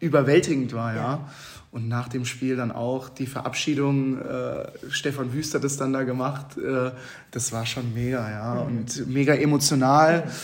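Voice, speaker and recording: Audible room echo surrounds a man speaking at a medium pitch and a fairly slow pace in a monotone, flat intonation. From Hesse, Babenhausen near Aschaffenburg. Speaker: handball goalkeeper. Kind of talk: interview.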